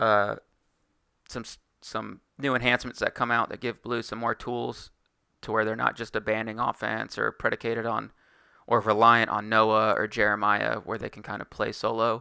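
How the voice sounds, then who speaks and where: A man with a medium pitch speaks in a monotone, flat intonation, with a bright, sharp tone and vocal fry. His loudness swings widely, and the recording is very clean with a silent background. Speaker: card game content creator. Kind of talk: tutorial. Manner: fast; casual with fillers.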